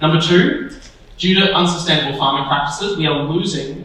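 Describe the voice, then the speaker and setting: An Australian-accented man at a fairly quick pace, his intonation fairly even, amid noticeable background noise and audible room echo. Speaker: panel moderator. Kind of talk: panel discussion moderation. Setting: stage with audience.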